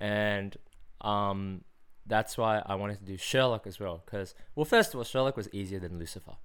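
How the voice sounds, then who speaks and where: On a very clean recording with a silent background, a man with an Australian accent speaks at a fairly low pitch and moderate pace with ordinary pitch variation. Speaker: podcast host. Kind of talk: casual chat. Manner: animated.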